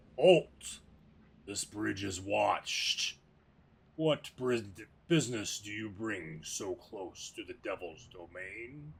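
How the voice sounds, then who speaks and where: Putting on a character voice, a man speaks very slowly at a fairly low pitch, hoarse and raspy, with long, frequent pauses and big swings in loudness. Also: lively intonation. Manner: stern, warning.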